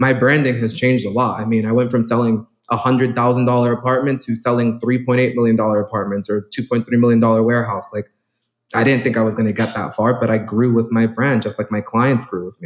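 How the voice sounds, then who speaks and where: A man at a medium pitch with a New York accent, very fast and flat, monotone in intonation. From New York City, South Bronx. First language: Spanish. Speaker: real estate agent. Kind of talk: conference talk.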